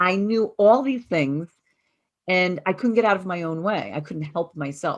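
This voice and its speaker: The pace is moderate and the pitch varies in an ordinary way. It is a plain, everyday voice. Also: woman. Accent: American. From US Northeast. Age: 50s. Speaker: chiropractor and wellness coach. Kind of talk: workshop presentation.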